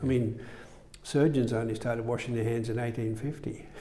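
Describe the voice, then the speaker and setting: A man speaks in a monotone, flat intonation with an Australian accent. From Melbourne, Australia. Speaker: surgeon. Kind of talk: interview. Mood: calm reminiscing. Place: studio. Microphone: lapel.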